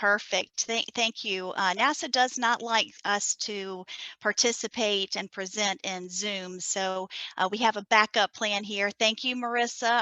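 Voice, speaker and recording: A woman with a Southern US accent speaks at a fairly slow pace in a fairly high, bright, sharp voice with monotone, flat intonation, recorded dry and close with no echo against a quiet background. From US South, South Carolina. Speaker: NASA science data coordinator. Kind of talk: conference presentation.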